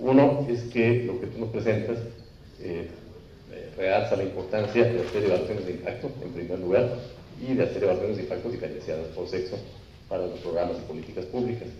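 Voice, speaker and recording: Talking at a very fast pace, a man has a dark, mellow tone, a somewhat breathy voice, ordinary pitch variation and big swings in loudness. Audible room echo and light background noise are present. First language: Spanish. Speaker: seminar panelist; panelist. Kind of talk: panel discussion. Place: meeting room. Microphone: handheld.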